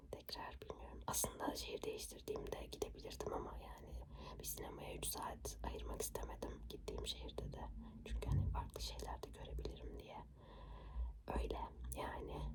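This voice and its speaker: A woman is whispering. Her pace is moderate. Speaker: ASMR creator. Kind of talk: whispered ASMR chat. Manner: whispered.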